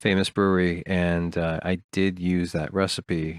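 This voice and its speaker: His pitch sits very deep and low. The man has an American accent. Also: very clean recording, silent background. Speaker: homebrewer. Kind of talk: presentation voiceover. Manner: dry, monotone.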